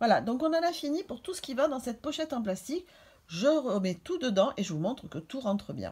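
A woman talks at a fairly quick pace in a high pitch, her voice swinging very widely in pitch. Her loudness rises and falls in big swings. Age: 50s. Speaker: beauty and fashion YouTuber; beauty vlogger. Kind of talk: beauty tutorial vlog. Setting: hotel room. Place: home room. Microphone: phone near.

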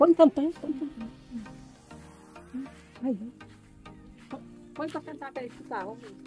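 A woman with a high pitch speaks with long, frequent pauses and big swings in loudness. Clear music plays in the background, and the sound is dry with no echo. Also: ordinary pitch variation, fairly slow pace. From Brazil. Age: 60s. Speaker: vlogger. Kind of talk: casual vlog talk. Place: garden. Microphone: phone near.

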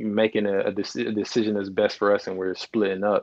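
Against a quiet background, a man with a fairly low pitch talks in a flat, monotone way. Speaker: guest. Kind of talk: interview answer. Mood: reflective, candid. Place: home room. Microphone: earbuds.

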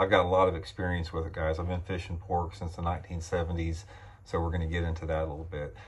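At a very fast pace, a man speaks in a very deep, low pitch, somewhat breathy, with monotone, flat intonation. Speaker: fishing channel host. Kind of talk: casual vlog chat. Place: home room. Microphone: phone near.

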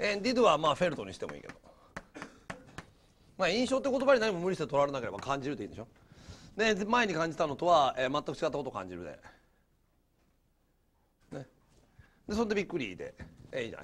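Talking at a very fast pace, a man with a high pitch makes very wide pitch swings and takes long, frequent pauses. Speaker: English teacher. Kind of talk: recorded classroom lecture.

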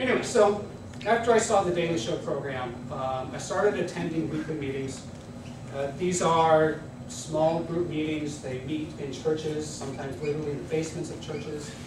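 A man speaks at a moderate pace with ordinary pitch variation and big swings in loudness, over noticeable background noise and audible room echo. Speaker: guest. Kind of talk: lecture. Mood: humorous, engaged. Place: classroom. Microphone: camera far.

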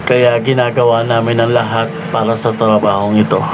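A man speaks at a fairly slow pace with audible room echo. Noticeable background noise runs underneath. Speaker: security guard vlogger. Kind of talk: vlog narration.

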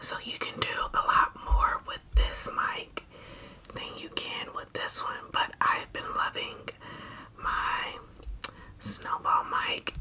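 Someone whispers at a very slow pace, with long, frequent pauses. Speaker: ASMR creator. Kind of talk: soft-spoken ASMR intro chat. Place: home room. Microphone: studio mic.

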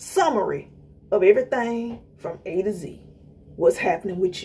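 A woman talks at a moderate pace with very wide pitch swings. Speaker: inspirational vlogger. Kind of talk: motivational talk. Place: home room. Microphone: phone near.

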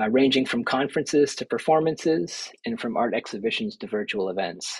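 An unremarkable speaking voice from a man, medium in pitch, fairly quick, with lively intonation over a quiet background. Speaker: institute administrator. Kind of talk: formal welcome remarks. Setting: video call. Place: office. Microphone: webcam.

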